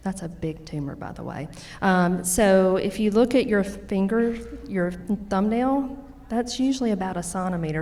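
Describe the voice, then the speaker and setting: A woman with a medium pitch talks at a moderate pace with lively intonation. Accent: strong Louisiana. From Louisiana. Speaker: nurse practitioner. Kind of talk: educational talk.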